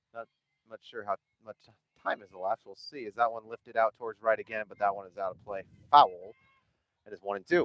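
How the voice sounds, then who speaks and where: A man at a very fast pace with long, frequent pauses, big swings in loudness and ordinary pitch variation. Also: medium pitch for a man. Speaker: sports play-by-play commentator. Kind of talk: live commentary. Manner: loud, raised over wind.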